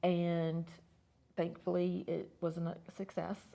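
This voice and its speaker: A woman's fairly low-pitched, dark, mellow voice in a Southern US accent at a fairly slow pace. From US South, Atlanta, Georgia. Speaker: suicide attempt survivor. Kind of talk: testimony. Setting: studio. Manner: halting, many fillers.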